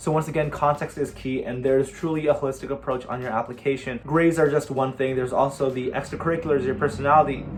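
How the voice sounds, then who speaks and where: Speaking at a very fast pace with hardly any pauses, a man delivers his words in a fairly high, monotone, flat voice over noticeable background noise. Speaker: college student YouTuber. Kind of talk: casual Q&A vlog.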